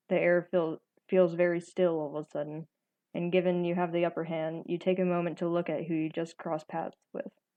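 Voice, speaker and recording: A woman's fairly low voice in an American accent, flat and monotone, at a fairly quick pace. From Texas. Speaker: gaming YouTuber. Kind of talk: reading aloud. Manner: halting, stumbles over words.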